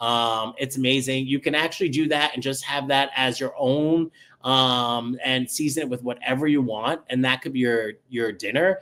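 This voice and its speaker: In a New York accent, a man with a bright, sharp tone talks at a medium pitch and moderate pace, with fairly even intonation and hardly any pauses. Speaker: chef. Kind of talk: live cooking stream. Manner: casual, chatty with many ums.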